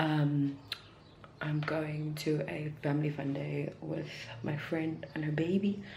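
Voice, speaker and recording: A very slow pace with audible room echo and noticeable background noise. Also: woman. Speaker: beauty vlogger. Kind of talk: vlog. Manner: casual.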